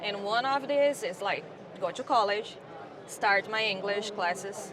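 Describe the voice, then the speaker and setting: Over noticeable background noise and audible room echo, a woman with a Brazilian Portuguese accent speaks at a fairly slow pace and a medium pitch, with ordinary pitch variation. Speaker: landscaping account manager. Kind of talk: interview. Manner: halting.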